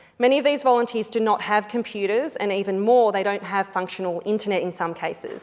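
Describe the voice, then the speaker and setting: A woman with an Australian accent talks at a fairly quick pace in a medium pitch with ordinary pitch variation. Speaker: politician. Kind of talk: parliamentary speech. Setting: parliament chamber. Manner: formal.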